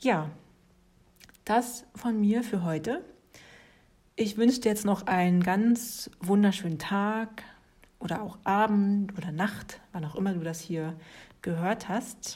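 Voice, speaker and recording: Very slowly and with long, frequent pauses, a woman speaks at a medium pitch in a warm, relaxed, dark and mellow tone, somewhat breathy, with ordinary pitch variation. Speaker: yoga teacher and podcast host. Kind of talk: casual solo talk on yoga philosophy. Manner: warm, relaxed with frequent laughter.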